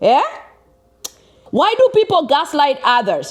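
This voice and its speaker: A woman speaks with a Kenyan accent. Her pace is fairly slow. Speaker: vlogger. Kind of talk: personal advice vlog. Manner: animated.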